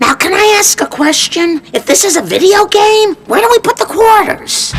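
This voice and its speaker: A cartoonish character voice, squeaky and extremely high in pitch. It moves at a moderate pace. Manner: naive, hesitant.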